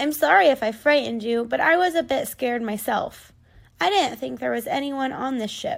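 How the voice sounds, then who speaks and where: In a put-on character voice, a woman speaks with a raspy, high pitch at a moderate pace. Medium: read story.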